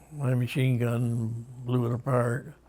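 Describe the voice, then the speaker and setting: A man's medium-pitched voice with a Western New York accent. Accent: Western New York American. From Rochester, New York. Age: 80s+. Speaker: war veteran. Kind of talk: interview answer.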